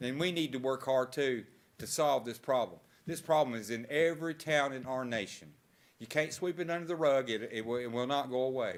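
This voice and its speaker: A man at a medium pitch speaks fairly quickly in a normal speaking voice with ordinary pitch variation. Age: 60s. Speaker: homeless resident making public comment. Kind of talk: public comment at council meeting. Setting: council chambers.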